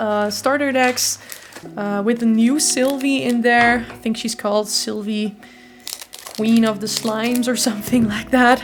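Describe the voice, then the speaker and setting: A woman's fairly high voice at a fairly slow pace, fairly even in intonation, over noticeable background noise. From Netherlands. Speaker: card game YouTuber. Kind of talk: unboxing commentary. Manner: casual with filler words.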